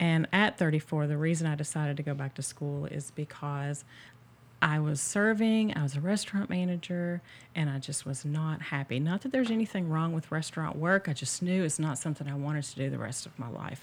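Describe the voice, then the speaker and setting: A woman's very deep, low-pitched voice at a fairly quick pace with ordinary pitch variation, in a very clean recording with a silent background. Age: 40s. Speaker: therapist. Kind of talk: casual chat.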